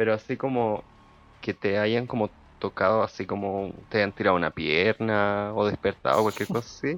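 Quiet and with a Chilean accent, a man speaks at a fairly low pitch in a dry, close sound with no echo. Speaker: podcast co-host. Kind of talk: casual chat. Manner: speaking quietly.

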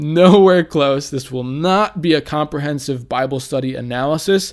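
A man speaks at a moderate pace with a fairly high pitch and ordinary pitch variation, on a very clean recording with a silent background. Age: 20s. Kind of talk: casual monologue introducing a Bible study podcast. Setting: talking into a microphone, podcast recording.

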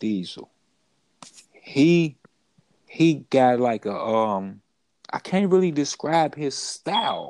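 This man's intonation is lively. He talks at a very slow pace. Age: 30s. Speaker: podcast host, rapper. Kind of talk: casual interview. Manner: animated.

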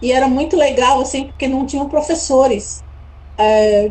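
A woman's high voice carries through audible room echo and noticeable background noise. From São Paulo, Brazil. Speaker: tourism entrepreneur. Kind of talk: interview.

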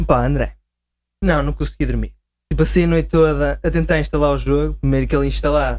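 This man speaks at a moderate pace. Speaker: video game fan guest. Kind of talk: casual chat.

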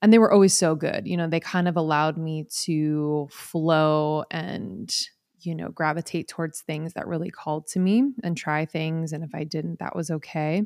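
In a very clean recording with a silent background and a dry, close sound with no echo, a woman speaks at a moderate pace. Her pitch is very deep and low, with ordinary variation and an animated, warm tone. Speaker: podcast co-host and speaker. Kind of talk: casual interview chat.

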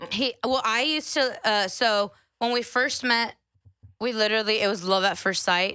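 A woman with an American accent has an ordinary speaking voice, a fairly high pitch and ordinary pitch variation. She keeps a moderate pace and very even loudness. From Central Texas (Austin area). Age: 20s. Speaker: podcast guest. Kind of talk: casual chat.

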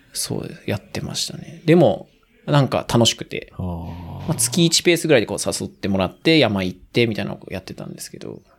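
Talking at a fairly quick pace, a man with a fairly high pitch uses vocal fry, very wide pitch swings and big swings in loudness. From Aichi, Kasugai (near Nagoya), Japan. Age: 30s. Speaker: trail runner. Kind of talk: casual chat.

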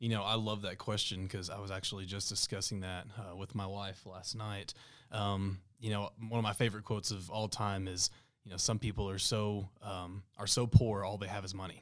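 A man with a Texan accent and a fairly low pitch, monotone and flat in intonation, at a moderate pace, in a very clean recording with a silent background. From Texas Panhandle (Amarillo area). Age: 20s. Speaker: small business owner. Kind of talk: interview podcast. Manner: halting, many fillers.

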